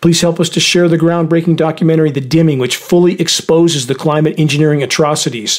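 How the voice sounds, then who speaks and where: Over noticeable background noise, a man with a fairly high pitch races along at a very fast pace with hardly any pauses, using a dramatic tone and fairly even intonation. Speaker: radio host. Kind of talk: scripted news-style commentary read aloud. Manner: grave, urgent, dramatic, warning tone.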